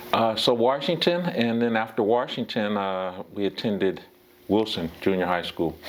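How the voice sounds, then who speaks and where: A man with an American accent at a moderate pace, ordinary pitch variation and noticeable background noise. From US West, Pasadena, California. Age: 60s. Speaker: former baseball player. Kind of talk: interview. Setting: at his home. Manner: halting, with many fillers.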